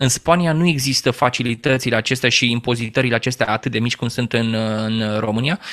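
The speaker uses a normal speaking voice at a fairly quick pace with ordinary pitch variation. The background is quiet. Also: man, medium pitch for a man. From Romania, Teleorman; Romania. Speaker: business trainer and former radio journalist; interview guest. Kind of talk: interview. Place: home room. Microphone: studio mic.

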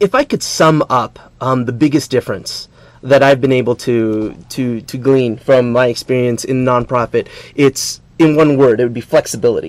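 A man speaks at a medium pitch with an American accent. The sound is dry with no echo. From California. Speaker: team leader in a school service program. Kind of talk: TV interview. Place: studio.

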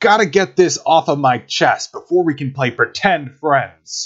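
A man's put-on character voice, raspy and growling, fairly high in pitch, at a moderate pace. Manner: growling, confrontational.

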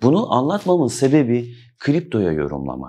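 This man has a dark, mellow tone at medium pitch. His pitch swings very widely. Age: 40s. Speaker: crypto YouTuber. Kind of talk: monologue to camera. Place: office.

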